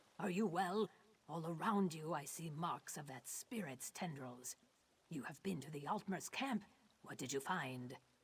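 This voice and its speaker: A middle pitch carries this put-on character voice. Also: moderate pace. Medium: video game. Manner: measured, grave.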